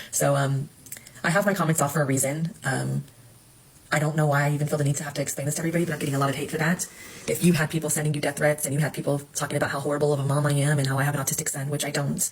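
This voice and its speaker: With noticeable background noise behind her, a woman speaks at a very fast pace in a very deep, low voice with monotone, flat intonation. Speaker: social media personality's former host. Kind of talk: self-recorded video statement. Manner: halting, many fillers after stroke.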